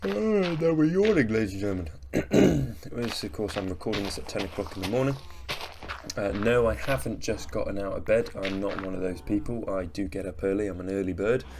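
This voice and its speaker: Over noticeable background noise, a man speaks with lively intonation. His voice is fairly low in pitch. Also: fairly quick pace. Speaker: gaming video creator. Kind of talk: casual gameplay commentary. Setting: different microphone than usual.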